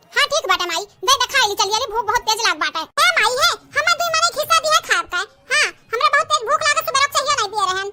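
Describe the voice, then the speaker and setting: A woman's put-on character voice, extremely high, with very wide pitch swings at a very fast pace. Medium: voice reel. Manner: whiny, sentimental.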